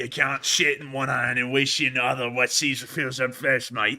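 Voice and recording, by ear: In a put-on character voice with an Australian accent, the speaker delivers lines at a moderate pace in a flat, monotone intonation. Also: man, medium pitch for a man.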